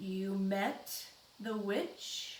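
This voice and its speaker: Growling in a put-on character voice, a female-sounding speaker holds a medium pitch for a woman over clear background noise. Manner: menacing, threatening.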